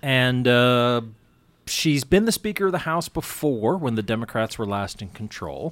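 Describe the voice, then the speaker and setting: At a moderate pace, a man with medium pitch, an ordinary speaking voice and lively intonation is heard on a very clean recording with a silent background. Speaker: radio host. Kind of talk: casual chat. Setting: studio.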